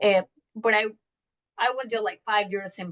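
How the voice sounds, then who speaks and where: In a Mexican accent, a woman with a medium pitch speaks with a dry, close sound and no echo. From Mexico City. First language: Spanish. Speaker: journalist. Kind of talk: interview. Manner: halting.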